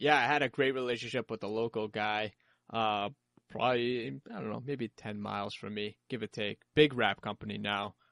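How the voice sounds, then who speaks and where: A man with a Boston accent speaks at a fairly low pitch and moderate pace with ordinary pitch variation. The sound is dry and close with no echo, over a quiet background. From Boston area, Massachusetts.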